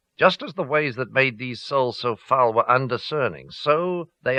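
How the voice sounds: Pitch varies in an ordinary way. The voice is a natural reading voice.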